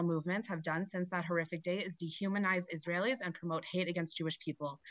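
A woman's medium-pitched, bright and sharp voice with an American accent, at a very fast pace. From Colorado. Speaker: nonprofit director, public commenter. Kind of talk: public comment speech.

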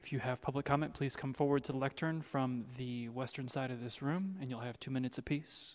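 A man speaks at a fairly quick pace at a medium pitch. It is a plain, everyday voice. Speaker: committee clerk. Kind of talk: formal meeting procedure. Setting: council chamber. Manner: formal.

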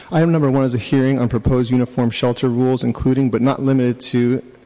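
Monotone and flat in intonation, a man rattles along at a very fast pace in a dark, mellow tone. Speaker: committee clerk. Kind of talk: formal agenda reading. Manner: formal.

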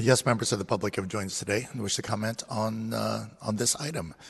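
Speaking very fast, a man uses a fairly low pitch with vocal fry. His pitch variation is ordinary. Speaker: committee clerk. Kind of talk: formal procedural announcements. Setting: council chamber. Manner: formal.

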